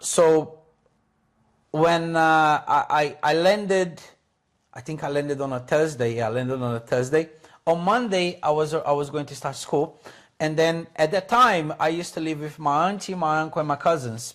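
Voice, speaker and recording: In a Portuguese accent, a man speaks at a moderate pace with a fairly high pitch. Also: ordinary pitch variation. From Brazil. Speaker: English teacher. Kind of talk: casual chat. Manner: animated; halting.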